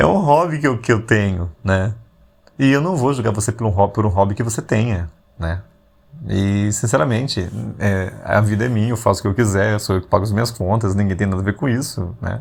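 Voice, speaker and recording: A somewhat breathy man talks fairly quickly in a fairly low pitch with ordinary pitch variation. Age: 40s. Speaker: podcast host. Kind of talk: casual reflective monologue. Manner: conversational, with frequent fillers.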